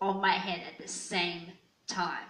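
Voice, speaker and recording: A woman with an Australian accent speaks fairly slowly. Her monotone, flat intonation comes with audible room echo. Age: 20s. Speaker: YouTuber. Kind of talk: casual vlog. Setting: at home alone. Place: home room. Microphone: handheld.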